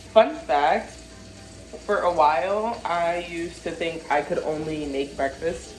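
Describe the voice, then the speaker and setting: A woman with a fairly low pitch speaks in an animated tone with ordinary pitch variation. Audible room echo and noticeable background noise are present. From northern US. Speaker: cooking vlogger. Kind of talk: casual chat.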